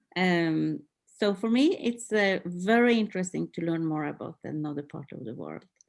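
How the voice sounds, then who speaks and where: Recorded very cleanly with a silent background, a woman with a Norwegian accent speaks at a moderate pace in a fairly low pitch with ordinary pitch variation. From northern Norway. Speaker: PhD student in adult education. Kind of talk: academic group discussion. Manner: halting, many fillers.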